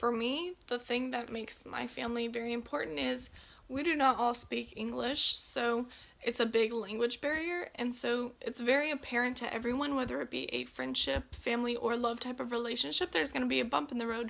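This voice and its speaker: A woman with a Texan accent talks at a fairly quick pace in a high pitch with ordinary pitch variation. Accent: Texan American English. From Texas, Belton. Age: 18. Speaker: nursing student. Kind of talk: class introduction speech.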